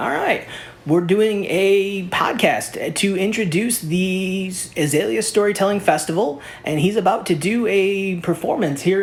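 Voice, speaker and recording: At a fairly slow pace, the voice comes through with music behind it. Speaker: podcast host. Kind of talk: interview question.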